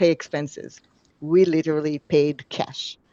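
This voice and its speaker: Against a quiet background, a speaker with a non-native accent and a dark, mellow tone talks at a moderate pace in a flat monotone. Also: woman. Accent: foreign. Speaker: company co-founder and CEO. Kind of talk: interview. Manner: frequent filler hesitations.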